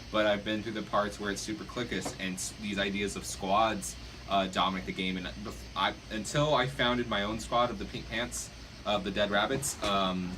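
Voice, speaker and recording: A loud, fairly low-pitched male voice with very wide pitch swings, audible room echo and noticeable background noise. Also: moderate pace. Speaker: Nerf club player. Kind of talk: casual group discussion. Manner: halting.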